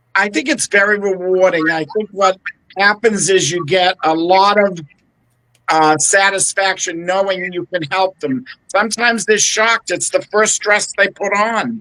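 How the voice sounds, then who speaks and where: A man's raised, projected voice, high in pitch and bright and sharp in tone, at a fairly slow pace with fairly even intonation and a dry, close sound with no echo. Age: 70s. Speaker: bridal stylist. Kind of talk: interview. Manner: hesitant with fillers.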